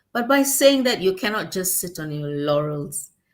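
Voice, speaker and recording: In a very clean recording with a silent background, a woman speaks with a non-native accent. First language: not English. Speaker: guest on talk show. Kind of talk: casual chat. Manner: halting.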